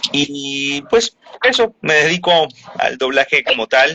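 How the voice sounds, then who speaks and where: Speaking at a very slow pace, a man uses a fairly high voice with lively intonation. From Venezuela. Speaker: voice actor. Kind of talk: interview answer.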